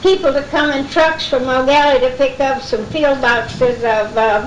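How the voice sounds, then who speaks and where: Against noticeable background noise, a woman with an American accent speaks very slowly at a high pitch. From Florida, South Brevard. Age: 80s+. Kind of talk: oral history talk to an audience. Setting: live event recording.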